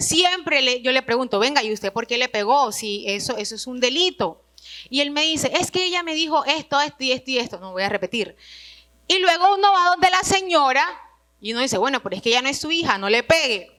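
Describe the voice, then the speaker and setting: Her pitch sits high and swings very widely. The woman projects a raised voice at a fairly quick pace. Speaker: retreat speaker. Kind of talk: religious retreat talk.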